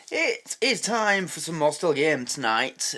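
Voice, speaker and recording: In a Yorkshire accent, a bright, sharp tone carries lively intonation on a very clean recording with a silent background. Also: man. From Yorkshire, England. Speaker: reaction video host. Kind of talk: casual talk to camera.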